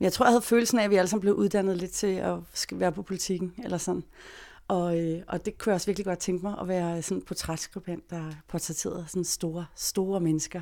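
At a very fast pace, a woman speaks with a dark, mellow tone and fairly even intonation. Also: medium pitch for a woman, very clean recording, silent background. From Denmark, Greve south of Copenhagen. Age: 40s. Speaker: freelance journalist. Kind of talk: interview storytelling.

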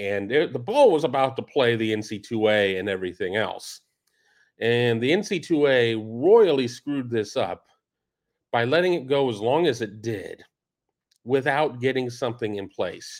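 Against a quiet background, a man with an unremarkable speaking voice talks at medium pitch and a moderate pace, his intonation lively. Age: 50s. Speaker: college football podcast host. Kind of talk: solo commentary show.

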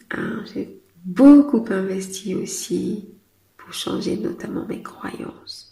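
At a very slow pace, the voice shows ordinary pitch variation and big swings in loudness, with audible room echo around it. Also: woman, medium pitch for a woman. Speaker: business coach and podcast host. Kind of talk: solo podcast monologue. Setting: outdoors in city traffic.

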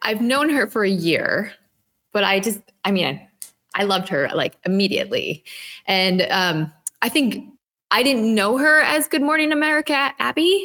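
In an Upper Midwest accent, the speaker talks at a fairly slow pace with a bright, sharp tone, very wide pitch swings and very even loudness. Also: woman. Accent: Upper Midwest (Minnesota). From Minnesota. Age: 20s. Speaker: sober lifestyle co-founder. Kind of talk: interview testimony.

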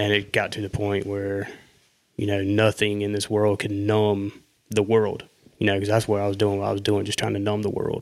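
On a very clean recording with a silent background, a man with a Southern US accent talks at a fairly quick pace, fairly low in pitch and flat, monotone in intonation. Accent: Southern US, country. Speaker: guest. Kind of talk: casual chat.

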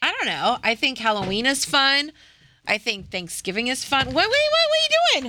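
Her voice is raised and projected, at a moderate pace. This woman speaks at a high pitch with very wide pitch swings. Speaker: podcast co-host. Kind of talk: casual chat.

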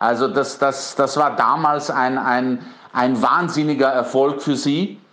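At a very slow pace, a man talks with a fairly high pitch and a bright, sharp tone. His intonation is fairly even and his loudness very even. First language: Bosnian (speaking German). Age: 40s. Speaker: PR consultant. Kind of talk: interview. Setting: pre-recorded interview, outside studio.

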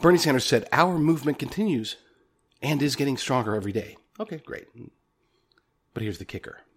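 Somewhat breathy and fairly high-pitched, a man talks at a very fast pace with very wide pitch swings, big swings in loudness and long, frequent pauses. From Oklahoma. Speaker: political podcast host. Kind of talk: political commentary.

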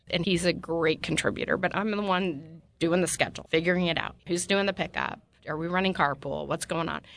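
In an American accent, a woman speaks at a fairly quick pace with hardly any pauses, using a fairly low pitch, vocal fry and monotone, flat intonation. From Utah. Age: 50s. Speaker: politician. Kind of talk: interview. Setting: studio.

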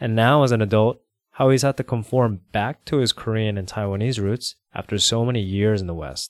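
A man with a normal speaking voice and an American accent, medium in pitch with ordinary pitch variation, at a fairly quick pace, in a dry, close sound with no echo. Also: very clean recording, silent background. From United States. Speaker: podcast host. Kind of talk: casual chat; scripted narration.

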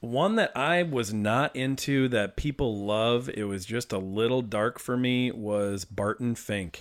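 The recording is very clean, with a silent background. A man with an unremarkable speaking voice talks at a fairly slow pace. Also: medium pitch for a man, ordinary pitch variation, hardly any pauses. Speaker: podcast host. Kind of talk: casual chat about movies.

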